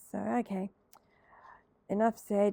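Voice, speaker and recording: A woman speaks at a fairly slow pace with a medium pitch and a dark, mellow tone. The sound is dry and close, with no echo. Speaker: crafting tutorial creator. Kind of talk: tutorial. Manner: hesitant, many fillers.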